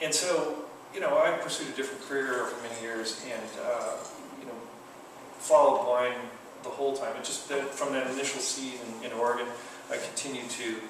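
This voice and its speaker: Noticeable background noise and audible room echo fill this recording. A man speaks at a fairly quick pace over it. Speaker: guest. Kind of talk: interview answer. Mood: relaxed, friendly. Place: shop. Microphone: camera far.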